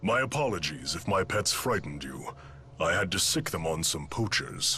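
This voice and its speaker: Using a put-on character voice, a man talks at a moderate pace with a fairly low pitch against clear background noise. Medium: video game.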